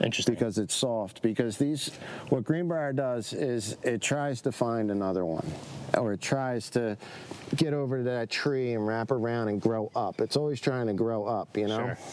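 With an American accent, a man speaks at a moderate pace in a medium pitch, his pitch varying in an ordinary way against noticeable background noise. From South Jersey, US (Medford). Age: 40s. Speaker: chef and restaurant owner. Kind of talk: casual interview. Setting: outdoors in the woods.

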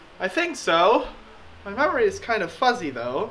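A put-on character voice at a fairly high pitch comes through over clear background noise. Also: moderate pace. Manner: airy, offhand, unbothered.

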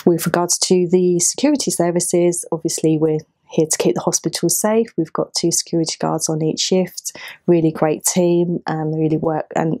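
In a plain, everyday voice, a woman speaks at a moderate pace and fairly low pitch, with fairly even intonation and a quiet background. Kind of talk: interview answer. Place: office.

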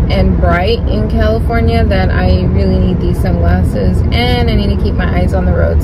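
A woman speaks at a fairly quick pace with ordinary pitch variation. Loud background noise fills the recording. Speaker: vlogger. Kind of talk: casual vlog chat. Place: car. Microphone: phone near.

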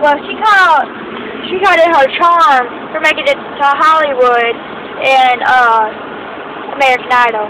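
Over noticeable background noise, a woman speaks in a raised, projected voice, and the sound is dry with no echo. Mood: playful teasing. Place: car. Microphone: phone near.

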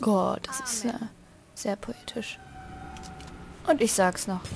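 A woman speaks at a slow pace with vocal fry. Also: medium pitch for a woman, ordinary pitch variation.

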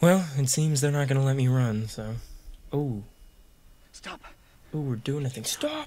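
Somewhat breathy, a man speaks at a moderate pace with a fairly high pitch and ordinary pitch variation. He leaves long, frequent pauses. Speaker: gaming YouTuber. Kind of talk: gameplay commentary. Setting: home recording with microphone. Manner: animated.

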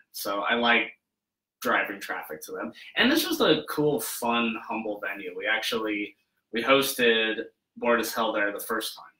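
A man with an American accent, big swings in loudness, audible room echo and a quiet background. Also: moderate pace. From Wyoming, US. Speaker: makeup effects artist; guest. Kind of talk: casual interview. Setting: his studio, live. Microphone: webcam.

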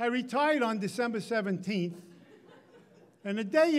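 A man speaks with a high pitch. His intonation is lively.

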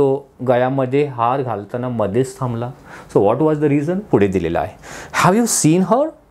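Lively intonation marks a man's fairly high-pitched voice. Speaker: English teacher. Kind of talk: lecture. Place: classroom. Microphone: lapel.

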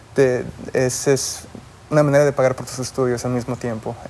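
Monotone, flat male speech at a moderate pace. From Mexico. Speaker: MD-PhD student; guest. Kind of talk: interview. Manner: halting, many repetitions. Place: studio.

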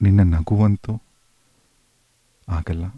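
With music in the background, a man's very deep, low voice sounds dry and close, with no echo. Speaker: radio host. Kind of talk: emotional reading of a listener's love letter on radio.

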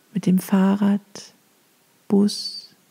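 Very slowly, a woman speaks at a medium pitch in a calm, soothing, flat monotone. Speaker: meditation guide. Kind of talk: guided meditation. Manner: calm, slow, soothing.

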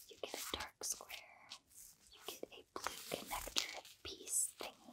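Whispering at a fairly slow pace, a woman's volume rises and falls in big swings. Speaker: ASMR creator. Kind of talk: casual product review to camera. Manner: whispered.

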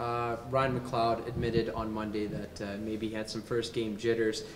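A man speaks at a moderate pace in a fairly low pitch, his intonation monotone and flat.

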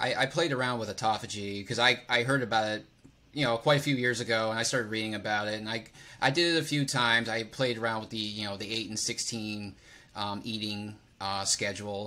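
A man with a bright, sharp tone speaks with fairly even intonation. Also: fairly quick pace. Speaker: personal trainer, podcast host. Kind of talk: podcast interview. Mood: relaxed, friendly. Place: home room. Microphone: studio mic.

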